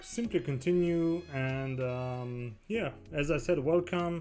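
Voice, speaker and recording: Over music in the background, a man speaks at a very slow pace with a fairly high pitch and ordinary pitch variation. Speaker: crypto live streamer. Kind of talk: casual live stream chat. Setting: live stream. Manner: halting, many fillers.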